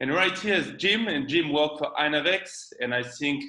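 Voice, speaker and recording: A man speaks with a strong French accent and ordinary pitch variation. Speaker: marine electronics company representative. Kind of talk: webinar presentation. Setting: online webinar.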